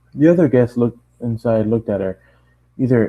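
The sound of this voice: This is an unforced reading voice. Its pitch varies in an ordinary way.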